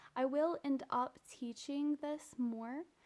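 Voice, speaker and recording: A soft-spoken woman. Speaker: music student and voice teacher. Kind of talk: class reflection video. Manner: centralized vowels, soft final consonants.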